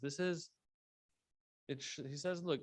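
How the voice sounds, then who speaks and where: Against a quiet background, a man delivers his words at a moderate pace. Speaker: Islamic religious speaker. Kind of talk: religious lecture.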